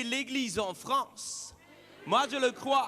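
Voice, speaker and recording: A man with a slight Swiss French accent projects a raised, extremely high voice with a bright, sharp tone and ordinary pitch variation. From Switzerland. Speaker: pastor. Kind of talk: sermon.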